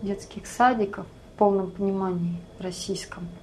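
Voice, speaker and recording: A calm-toned woman at a fairly slow pace, with noticeable background noise behind her. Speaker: emigrant sharing life abroad. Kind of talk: interview.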